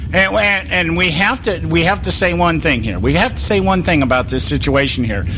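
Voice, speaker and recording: With music in the background and audible room echo, a man with an American accent talks at a fairly quick pace, with very even loudness and hardly any pauses. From California. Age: 60s. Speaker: political talk radio host. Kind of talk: casual political talk show chat. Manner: halting, many repetitions and fillers.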